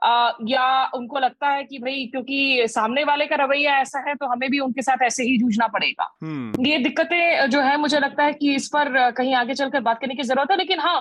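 A woman talks at a moderate pace, high in pitch, with fairly even intonation. She leaves hardly any pauses, and background noise is noticeable. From India, West Bengal (Asansol), non-Bengali. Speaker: senior journalist, foreign affairs. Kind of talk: panel discussion.

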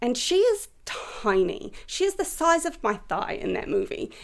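A woman with a New Zealand accent speaks with very wide pitch swings. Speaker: writer and actor. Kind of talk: casual chat.

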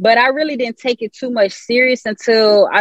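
A woman speaks at a moderate pace with fairly even intonation. It is an ordinary speaking voice. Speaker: musician. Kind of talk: casual interview.

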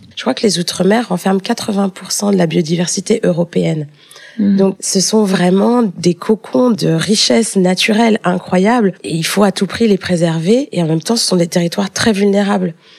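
There is noticeable background noise behind a woman speaking at a medium pitch. She talks at a moderate pace with ordinary pitch variation. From France, Paris. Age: 20s. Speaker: EU civil servant. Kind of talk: interview.

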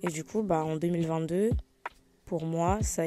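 This woman has a fairly low pitch and a dark, mellow tone. Her intonation stays fairly even. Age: young. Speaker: podcast host. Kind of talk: casual chat. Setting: at home in bed. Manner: spontaneous, hesitant.

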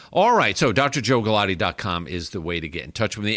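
With vocal fry and an American accent, the voice comes through a very clean recording with a silent background. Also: man. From New York. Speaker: physician and radio host. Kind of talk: radio interview. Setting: studio.

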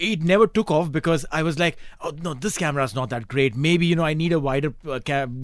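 A man talks at a fairly quick pace in a fairly high pitch, with a plain, everyday voice. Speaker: radio host. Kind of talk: radio interview. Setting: studio.

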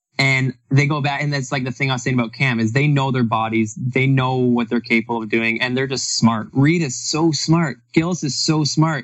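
In an ordinary speaking voice, a man talks at a moderate pace with hardly any pauses. His pitch is medium and his intonation fairly even. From Canada. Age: 30s. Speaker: retired professional runner and coach. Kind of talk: casual interview chat.

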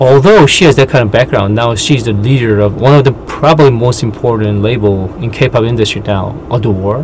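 With a Korean accent and noticeable background noise behind him, a man of medium pitch talks at a moderate pace with ordinary pitch variation and hardly any pauses. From South Korea. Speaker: podcast co-host, writer and translator. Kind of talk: casual chat.

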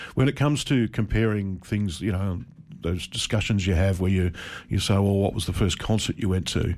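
Over a silent background in a very clean recording, a man with an Australian accent and a fairly low voice speaks at a moderate pace with ordinary pitch variation. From regional Victoria, Australia. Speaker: journalist. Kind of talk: radio interview. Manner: hesitant, many fillers.

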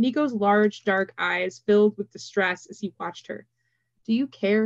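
A quiet backdrop behind plain reading aloud, pitch varying in an ordinary way

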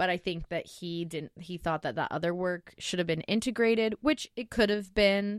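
A woman talks at a moderate pace with hardly any pauses, at a medium pitch with ordinary pitch variation. The sound is dry and close with no echo, and it is a plain, everyday voice. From Oregon (Lake Oswego, near Portland). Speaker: graphic designer, studio co-founder. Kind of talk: casual chat.

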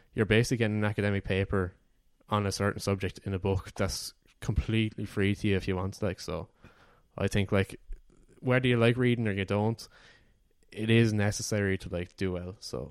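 With an Irish accent, a man with a fairly low pitch speaks at a fairly quick pace but leaves long, frequent pauses, on a very clean recording with a silent background. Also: fairly even intonation. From Ireland, Wexford. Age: 20s. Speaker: university student. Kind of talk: casual chat.

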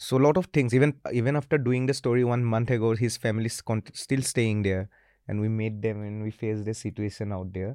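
Over a quiet background, a man speaks at medium pitch in a dark, mellow tone with fairly even intonation, the sound dry and close with no echo. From Northeast India, Assam. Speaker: reporter. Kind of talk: casual interview.

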